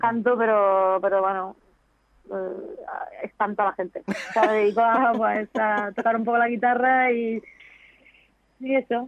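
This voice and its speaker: A woman with fairly high pitch, lively intonation, and an unremarkable speaking voice. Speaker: professional golfer and TV presenter. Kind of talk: interview.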